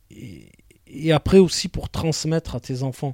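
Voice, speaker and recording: A man speaks very slowly in a dark, mellow tone, in a dry, close recording with no echo and a silent background. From southern France (Marseille). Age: 40s. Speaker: actor and screenwriter, former police officer. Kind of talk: interview chat.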